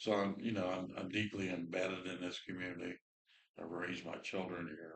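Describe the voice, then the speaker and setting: The voice runs at a fairly quick pace in a monotone with flat intonation. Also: man, very deep, low pitch for a man. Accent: Midwestern American. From Indiana. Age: 60s. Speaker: former council president, fire chief. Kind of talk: self-introduction at town meeting. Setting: town council meeting.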